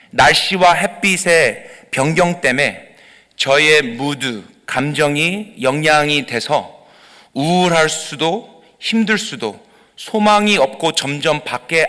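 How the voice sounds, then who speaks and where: A man with a fairly high pitch delivers his words at a very slow pace. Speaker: pastor. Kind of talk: sermon. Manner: halting, frequent fillers.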